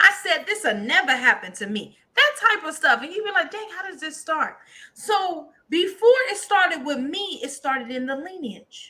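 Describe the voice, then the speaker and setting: A woman projects her raised voice in an animated tone, bright and sharp, at an extremely high pitch with very wide swings, keeping a moderate pace with hardly any pauses. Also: big swings in loudness. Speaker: co-host, prophetess. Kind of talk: casual chat. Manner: loud.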